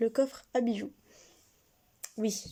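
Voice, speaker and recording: Soft-spoken, a woman with fairly high pitch has a dark, mellow tone and fairly even intonation. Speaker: online shop owner and video creator. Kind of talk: casual product presentation vlog. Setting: at home, parents nearby.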